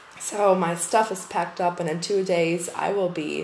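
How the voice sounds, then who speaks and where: A woman speaks fairly slowly at a fairly low pitch. Her intonation stays fairly even, and there is audible room echo. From Germany. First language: German. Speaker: podcast host. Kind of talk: casual monologue. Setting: empty packed-up room. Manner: hesitant.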